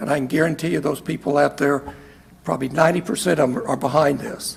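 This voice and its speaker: In an American accent, a man races along at a very fast pace, his fairly high pitch showing ordinary pitch variation. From Kansas. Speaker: retired software executive giving testimony. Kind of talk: testimony. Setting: legislative committee hearing. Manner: halting.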